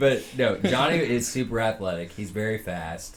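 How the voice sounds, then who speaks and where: With lively intonation, a man with a fairly low pitch uses an ordinary speaking voice. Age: 20s. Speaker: fantasy football podcast co-host. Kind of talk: casual chat.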